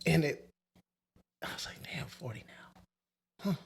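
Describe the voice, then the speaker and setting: A man is whispering. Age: 40s. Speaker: podcast co-host. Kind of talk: casual chat.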